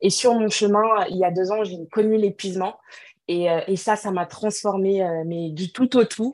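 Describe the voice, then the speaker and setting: In an unremarkable speaking voice, a woman talks at a fairly slow pace with fairly even intonation. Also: medium pitch for a woman. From Cameroon. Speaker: entrepreneur and natural hair advocate. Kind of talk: interview.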